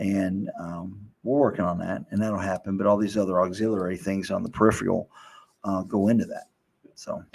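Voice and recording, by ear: A man speaks at a moderate pace in a low voice with little pitch movement, vocal fry, a slightly husky edge and a slightly mellow tone.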